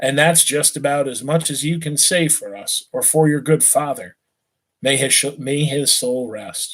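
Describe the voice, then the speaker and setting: Using a plain, everyday voice, the man speaks at a fairly slow pace with fairly high pitch and ordinary pitch variation. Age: 40s. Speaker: teacher reading a novel to students. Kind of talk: reading aloud. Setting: live online stream.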